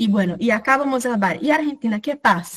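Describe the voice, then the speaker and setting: A somewhat breathy woman with a Brazilian accent speaks at a fairly quick pace with ordinary pitch variation. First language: Portuguese (speaking Spanish). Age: 20s. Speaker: workshop facilitator. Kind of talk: online workshop talk.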